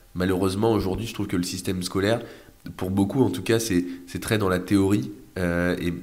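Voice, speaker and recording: In a room with audible echo, a man with a very deep, low voice talks at a moderate pace with fairly even intonation. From France, Orléans area then Brittany. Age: 20s. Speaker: young real estate investor and entrepreneur. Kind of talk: casual interview. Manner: hesitant, many fillers.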